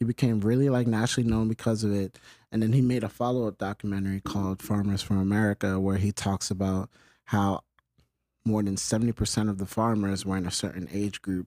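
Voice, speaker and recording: Very fast and monotone, a man with a New York accent speaks in a dark, mellow tone at a fairly low pitch. The recording is very clean with a silent background, and the sound is dry and close with no echo. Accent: New York City. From New York City, the Bronx (Longwood). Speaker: filmmaker and production company owner. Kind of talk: interview.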